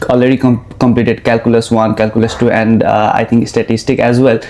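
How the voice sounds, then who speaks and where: The speech moves at a fairly quick pace over noticeable background noise. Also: man. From Nepal. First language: Nepali. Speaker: international student, podcast host. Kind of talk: interview. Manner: halting.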